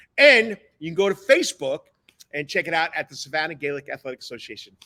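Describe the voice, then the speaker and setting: Talking at a very fast pace, a man with a New York accent has a bright, sharp tone. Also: dry, close sound with no echo. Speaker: sports talk show host, coach. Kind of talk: live sports talk show. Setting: studio sound stage. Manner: fast-talking.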